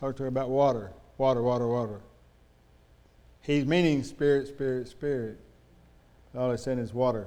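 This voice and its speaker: Mumbling with long, frequent pauses, a man speaks in a dark, mellow tone at a medium pitch with fairly even intonation, and room echo is audible. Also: moderate pace. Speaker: preacher. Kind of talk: sermon. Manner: slurred, mumbly speech; halting, stammering repetitions.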